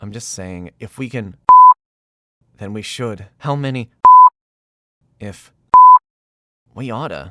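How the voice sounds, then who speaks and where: A man's put-on character voice at a medium pitch, fairly slow, with long, frequent pauses over sound effects in the background. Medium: audio drama.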